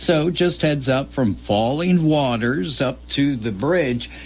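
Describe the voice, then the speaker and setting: Lively intonation and an ordinary speaking voice, with an American accent. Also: man. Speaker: radio host. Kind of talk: radio show host patter.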